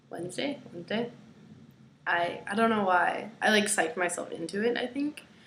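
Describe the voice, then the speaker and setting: A woman keeps a moderate pace and ordinary pitch variation while noticeable background noise carries on. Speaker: video blogger. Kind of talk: casual vlog monologue. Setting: at home. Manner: hesitant, many fillers.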